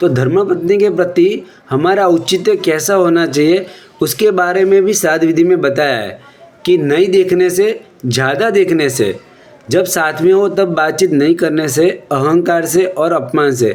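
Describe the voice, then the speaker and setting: The speaker has a Gujarati accent. Noticeable background noise runs underneath. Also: man, high pitch for a man, ordinary pitch variation. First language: Gujarati (speaking Hindi). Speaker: Jain religious speaker. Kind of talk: religious discourse.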